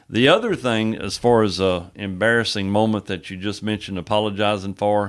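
A man speaks at a moderate pace in a fairly low voice, on a very clean recording with a silent background. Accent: Texan. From East Texas (Henderson). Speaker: pastor. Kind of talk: casual interview.

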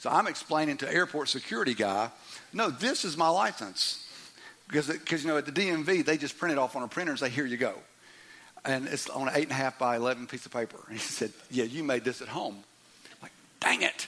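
Amid noticeable background noise, a man with an American accent talks at a very fast pace in a fairly high voice, with an animated tone and ordinary pitch variation. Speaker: pastor. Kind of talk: sermon. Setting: church.

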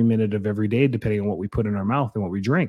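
A man's fairly low-pitched voice, dark and mellow in tone, in a dry, close sound with no echo. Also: very clean recording, silent background. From Canada (Calgary). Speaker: health podcast host, doctor. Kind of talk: solo educational podcast monologue. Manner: animated.

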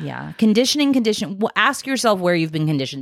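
Talking at a very fast pace, a woman swings her pitch very widely, with vocal fry in her voice. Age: 50s. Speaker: podcast co-host. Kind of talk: casual chat. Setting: home recording.

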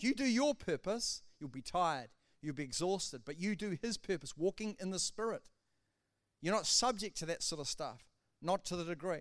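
A man speaks at a high pitch and moderate pace with lively intonation. The recording is very clean, with a silent background. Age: 70s. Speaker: pastor. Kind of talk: sermon. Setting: church.

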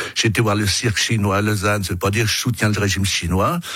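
A man speaks at a fairly quick pace. His pitch is fairly low. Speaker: politician, election candidate. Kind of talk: radio interview. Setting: radio studio. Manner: loud.

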